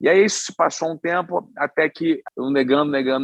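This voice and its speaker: A man with a Rio de Janeiro accent at a fairly quick pace, fairly high in pitch with ordinary pitch variation. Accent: Carioca Brazilian Portuguese. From Rio de Janeiro, Brazil. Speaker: chef and restaurateur. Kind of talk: podcast interview answer.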